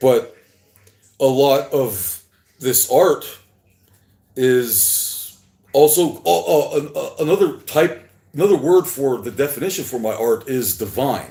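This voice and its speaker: Speaking at a very slow pace with long, frequent pauses, a man uses a fairly high, dark, mellow voice with vocal fry and lively intonation. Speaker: artist livestreaming his work. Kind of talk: casual livestream monologue. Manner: halting, stuttering; slurring at times.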